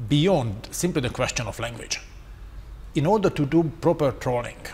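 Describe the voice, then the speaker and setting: Somewhat breathy and fairly high-pitched, a man with a Hungarian accent speaks at a moderate pace with very wide pitch swings and long, frequent pauses. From Hungary. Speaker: strategic communication expert. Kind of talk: panel discussion.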